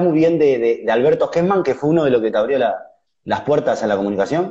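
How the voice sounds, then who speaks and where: A man talks with lively intonation at a fairly high pitch. The background is quiet. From Uruguay. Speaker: online interviewer. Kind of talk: interview. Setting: live video call on Instagram. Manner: halting, repeats words. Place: home room. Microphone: video call.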